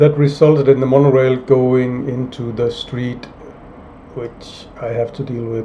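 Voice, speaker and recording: Flat, monotone male speech at medium pitch, fairly slow, with big swings in loudness over noticeable background noise. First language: not English (third language or later). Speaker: indie game developer. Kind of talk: casual video log with viewer Q&A. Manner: hesitant, many fillers and repeats.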